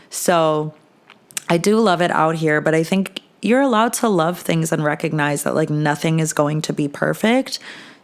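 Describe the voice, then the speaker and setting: This woman has a New Jersey accent. Her pitch sits fairly low. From New Jersey, tri-state area. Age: 20s. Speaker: podcast host. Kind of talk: casual chat.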